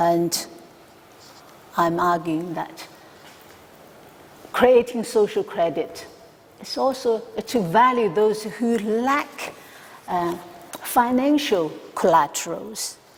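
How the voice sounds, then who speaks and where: A woman with a Chinese accent and medium pitch, very slow pace, lively intonation and long, frequent pauses amid noticeable background noise. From China. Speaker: academic researcher. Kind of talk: conference talk. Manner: halting, many fillers.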